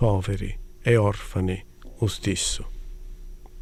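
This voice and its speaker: A man's dark, mellow tone at a medium pitch. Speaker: translator. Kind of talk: poetry reading.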